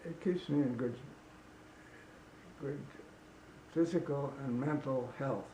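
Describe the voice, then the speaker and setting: With long, frequent pauses, a man talks at a fairly slow pace in a somewhat breathy voice, his pitch fairly high and his tone dark and mellow. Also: ordinary pitch variation. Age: 90s. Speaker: runner and paddler. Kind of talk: interview answer. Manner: hesitant.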